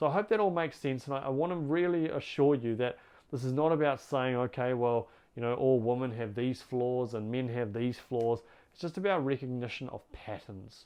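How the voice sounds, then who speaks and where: A man with a New Zealand accent, medium pitch, ordinary pitch variation and a fairly quick pace. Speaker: relationship coach. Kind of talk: advice monologue to camera. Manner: warm, earnest.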